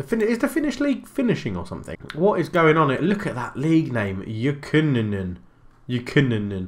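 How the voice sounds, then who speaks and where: A man with an English accent talks at a fairly quick pace, his fairly high voice swinging very widely in pitch. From England. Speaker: gaming YouTuber. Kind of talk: video game commentary. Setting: home recording. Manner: casual, chatty. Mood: upbeat, amused.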